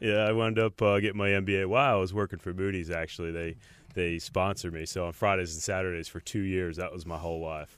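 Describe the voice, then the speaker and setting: Speaking at a very fast pace with an American accent, the voice keeps a fairly even intonation. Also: man, very deep, low pitch for a man. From New Jersey. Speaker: brewery executive and former home brewer. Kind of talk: casual interview. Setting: studio.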